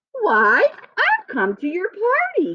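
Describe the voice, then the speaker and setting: A squeaky, put-on character voice from a woman, pitched extremely high. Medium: read story.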